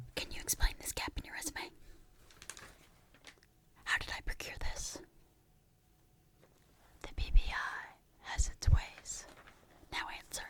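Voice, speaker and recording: The voice is whispering with a playful tone. It moves at a fairly slow pace, broken by long, frequent pauses. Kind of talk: ASMR roleplay whispered questioning for relaxation and sleep. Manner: whispered, playful.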